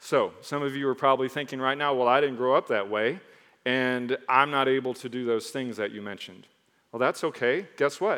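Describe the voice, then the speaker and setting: Medium-pitched male speech with ordinary pitch variation at a fairly quick pace. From mixed: Michigan, Texas, Caribbean, Mississippi. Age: 40s. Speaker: pastor. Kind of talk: sermon. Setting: church stage with congregation. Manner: animated.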